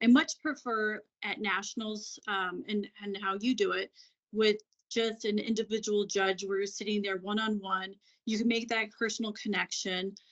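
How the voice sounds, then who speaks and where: This woman has a normal speaking voice, pitched fairly high. She talks at a moderate pace with fairly even intonation. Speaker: former pageant titleholder. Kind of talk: interview.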